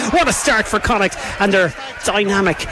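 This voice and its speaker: Over noticeable background noise, a man with a high pitch speaks in a raised, projected voice and an animated tone. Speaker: play-by-play rugby commentator. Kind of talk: live sports commentary, play-by-play. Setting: stadium commentary position, open air with wind and rain. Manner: fast, animated, urgent as the action builds.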